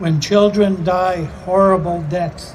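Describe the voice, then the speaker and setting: Amid noticeable background noise and audible room echo, a high-pitched man speaks very slowly with fairly even intonation. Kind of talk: vigil speech. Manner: solemn.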